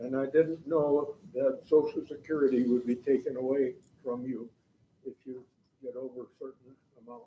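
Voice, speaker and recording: A man's medium-pitched voice with a dark, mellow tone, fairly even intonation, big swings in loudness and a moderate pace. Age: 80s+. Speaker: retired school psychologist. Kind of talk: audience comment. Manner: halting.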